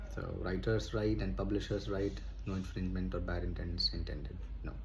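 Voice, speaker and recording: In a room with audible echo, a man speaks at a very deep, low pitch with vocal fry and very wide pitch swings. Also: fairly quick pace. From India. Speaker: YouTuber reading books aloud. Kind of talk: casual chat. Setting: someone else's home, past midnight. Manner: halting, many fillers.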